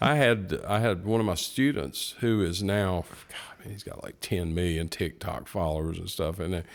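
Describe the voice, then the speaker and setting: In a very clean recording with a silent background, a man with an American accent speaks at a moderate pace in a very deep, low pitch, with ordinary pitch variation and big swings in loudness. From North Carolina (Morganton). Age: 60s. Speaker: guitar shop owner and guitarist. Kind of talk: casual chat.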